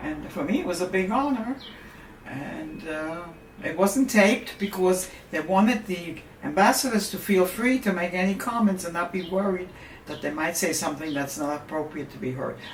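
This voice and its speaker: The speech moves at a moderate pace. Noticeable background noise and audible room echo can be heard. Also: woman, medium pitch for a woman, lively intonation. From Germany. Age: 80s+. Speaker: Holocaust survivor. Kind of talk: interview. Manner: halting.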